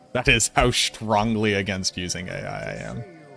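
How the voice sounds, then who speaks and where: Music plays in the background as a man talks with an American accent. His pitch is fairly low and his pace is moderate. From US Northeast, Boston. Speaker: video game streamer. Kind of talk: casual chat. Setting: live stream. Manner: animated.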